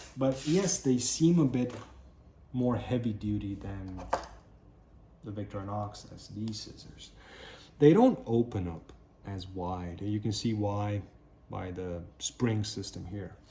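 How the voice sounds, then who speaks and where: Speaking very slowly with long, frequent pauses, a man with a non-native accent has a fairly low pitch and ordinary pitch variation. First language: not English. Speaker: knife and tool reviewer. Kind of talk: product review tutorial. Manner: casual, with hesitations.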